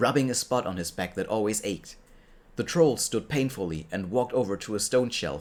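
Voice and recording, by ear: Someone is reading aloud in a natural voice. The delivery keeps to that plain reading.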